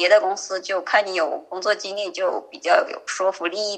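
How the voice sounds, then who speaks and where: A woman talks at a moderate pace, noticeable background noise around her. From rural China. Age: 20s. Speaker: software programmer. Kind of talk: interview.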